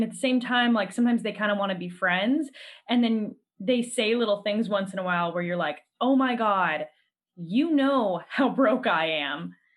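A woman talks at a moderate pace with a plain, everyday voice. Her fairly high pitch carries lively intonation. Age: 30s. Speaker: podcast host. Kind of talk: casual chat. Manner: laughs often.

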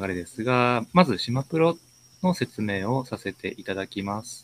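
Heard dry and close with no echo, an unremarkable speaking voice moves at a moderate pace with lively intonation. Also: man. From Ishikawa Prefecture. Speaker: community interviewer, software engineer. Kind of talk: interview hosting. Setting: online live stream. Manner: formal.

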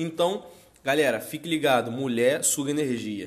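A man's unremarkable speaking voice, fairly high in pitch, at a fairly slow pace. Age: 20s. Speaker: podcast co-host, entrepreneur. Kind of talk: casual chat.

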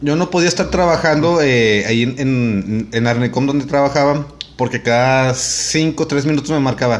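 A man's fairly high voice at a moderate pace, with ordinary pitch variation, very even loudness and noticeable background noise. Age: 30s. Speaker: podcast co-host. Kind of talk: casual chat.

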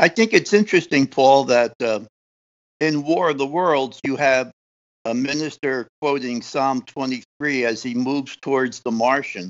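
A man speaks in an ordinary speaking voice at a fairly slow pace. His pitch varies in an ordinary way. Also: medium pitch for a man. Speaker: podcast co-host. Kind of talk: casual interview.

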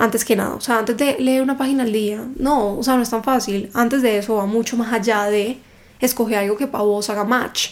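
A woman talks in an ordinary speaking voice, fairly high in pitch, with fairly even intonation. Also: fairly quick pace. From Cali, Colombia. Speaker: book content creator. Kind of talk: casual interview chat.

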